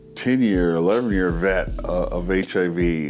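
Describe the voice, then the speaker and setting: A man with a very deep, low pitch swings very widely in pitch over noticeable background noise. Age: 50s. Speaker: dialysis patient sharing his story. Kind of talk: personal testimony. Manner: halting, with many fillers and repeats.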